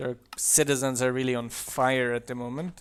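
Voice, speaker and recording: There's a slight German accent as a man speaks at a medium pitch with fairly even intonation. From southern Germany. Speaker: mod developer and streamer. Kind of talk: live game stream commentary. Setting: live stream. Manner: casual.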